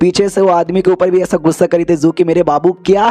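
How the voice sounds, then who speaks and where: A man's dark, mellow voice at a moderate pace, with a dry, close sound and no echo. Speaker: anime recap narrator. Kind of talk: casual Hindi anime recap narration. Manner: chatty, informal.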